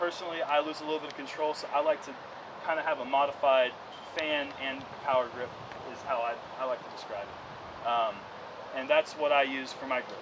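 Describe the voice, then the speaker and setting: Noticeable background noise sits behind a fairly quick voice with an American accent and fairly even intonation. Long, frequent pauses break up the speech. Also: man, fairly high pitch for a man. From US South, North Carolina. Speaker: disc golf pro. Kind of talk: outdoor clinic demonstration.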